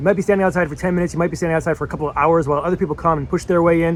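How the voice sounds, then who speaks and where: Speaking very fast, a man keeps his pitch variation ordinary. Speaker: artist vlogger. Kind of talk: casual vlog storytelling. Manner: hesitant with many fillers.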